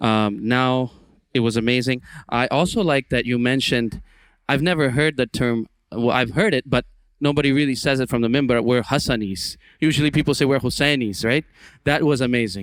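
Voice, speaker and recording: A man's medium-pitched voice at a fairly quick pace, with ordinary pitch variation and very even loudness, on a very clean recording with a silent background. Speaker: talent show judge and reciter. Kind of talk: judge's feedback. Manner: fast.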